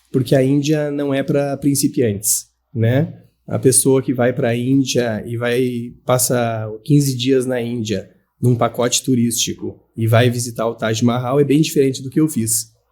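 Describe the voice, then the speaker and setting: Dark and mellow in tone, a man speaks at medium pitch. He goes at a fairly slow pace with fairly even intonation. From southern Brazil, Santa Maria, Rio Grande do Sul. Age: 40s. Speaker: professor. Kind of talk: interview.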